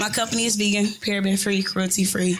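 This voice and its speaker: There is audible room echo as a woman with an American accent speaks at a medium pitch. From Detroit, Michigan. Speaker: cosmetics entrepreneur. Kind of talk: casual podcast chat. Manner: loud.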